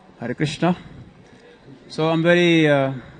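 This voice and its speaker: A man with a West African accent speaks in a fairly high pitch. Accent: French-speaking West African. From Ivory Coast. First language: French. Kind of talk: religious scripture lecture. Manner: halting, with many filler sounds.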